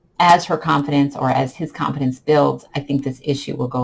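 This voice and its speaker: Calm in tone, a woman speaks at a fairly quick pace in a very deep, low voice with vocal fry and fairly even intonation. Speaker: online English teacher. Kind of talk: vlog tips talk.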